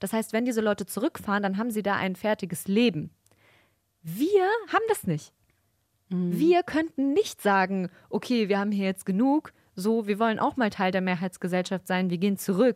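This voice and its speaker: A normal speaking voice from a woman, medium in pitch with ordinary pitch variation, at a moderate pace, in a dry, close sound with no echo. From Germany. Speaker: podcast co-host. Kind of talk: casual chat.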